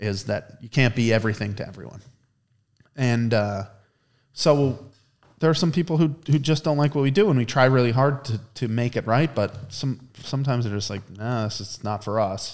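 A man in an ordinary speaking voice with an American accent, medium pitch and ordinary pitch variation, on a very clean recording with a silent background. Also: moderate pace. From western Pennsylvania. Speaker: ice cream maker and chef. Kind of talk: casual chat. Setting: ice cream production facility.

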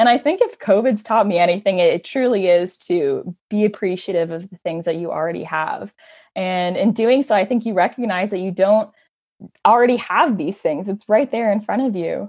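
This woman has an unremarkable speaking voice with a Canadian accent. Her pitch sits in the middle, with ordinary variation and a moderate pace. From Ontario, Canada (Hamilton). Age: 20s. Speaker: hiker. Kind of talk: casual interview.

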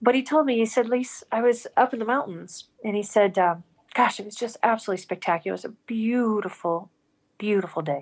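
Speaking at a fairly quick pace with an American accent, a woman has an unremarkable speaking voice at a fairly high pitch with ordinary pitch variation. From US, Montana (rural). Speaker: spiritual storyteller, former corporate businesswoman. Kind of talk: personal testimony in interview.

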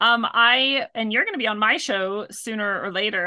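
A woman speaks at a medium pitch with a West Coast accent, her tone bright and sharp. Her pitch varies in an ordinary way against a quiet background. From US Pacific Northwest. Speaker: spiritual healer and author. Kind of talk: casual interview chat.

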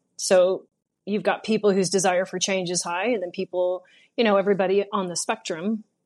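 Against a quiet background, a woman talks at a fairly quick pace. Her medium pitch stays monotone and flat. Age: 40s. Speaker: former prisoner in recovery. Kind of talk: interview.

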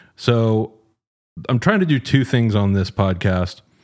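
On a very clean recording with a silent background, a man uses an ordinary speaking voice, ordinary pitch variation and a moderate pace. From Texas, Dallas. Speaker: podcast host. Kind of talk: interview.

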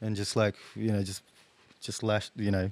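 With an Australian accent, the speaker talks at a fairly quick pace in a monotone, flat intonation. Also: man. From Australia, teen years in Chile. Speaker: guitarist. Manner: hesitant, many fillers.

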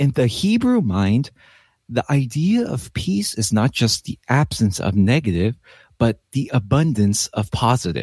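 A man's somewhat breathy, medium-pitched voice with lively intonation at a fairly slow pace, in a very clean recording with a silent background and a dry, close sound with no echo. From US West Coast, Los Angeles. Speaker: pastor. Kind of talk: bible teaching in casual chat. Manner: animated.

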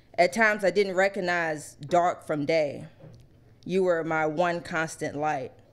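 Nervous-toned woman, fairly low in pitch, fairly slow, with ordinary pitch variation. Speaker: first-time open mic poet. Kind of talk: poet spoken word, heartfelt tribute poem read from a phone, tender and earnest. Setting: stage with live audience at poetry cafe. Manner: nervous and halting at first, then earnest, measured and tender.

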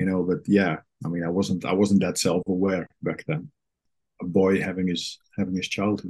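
Talking at a moderate pace, a man with a Dutch accent uses a very deep, low pitch and fairly even intonation. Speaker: therapist and coach, guest. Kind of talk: personal interview, reflective conversation. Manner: halting, reflective.

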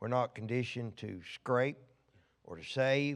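Male speech at a mid pitch, moving a normal amount up and down. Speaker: visiting minister giving prophetic words. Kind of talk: sermon / prophetic ministry. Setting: church.

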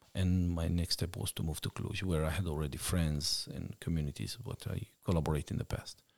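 Speaking at a fairly quick pace with a Romanian accent, the voice is somewhat breathy, with a dry, close sound free of echo on a very clean recording over a silent background. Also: man. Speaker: missionary. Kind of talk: interview testimony.

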